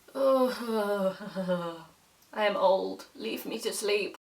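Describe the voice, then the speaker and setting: In a put-on character voice, a female-sounding speaker sounds raspy and weary at a medium pitch. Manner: groaning, weary.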